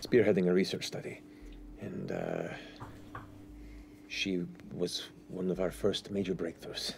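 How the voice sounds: A man puts on a character voice, low in pitch with vocal fry. He moves at a fairly slow pace with little pitch movement.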